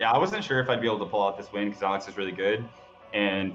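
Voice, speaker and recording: Music behind a man's very fast delivery. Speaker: esports player. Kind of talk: casual chat. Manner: loud; halting.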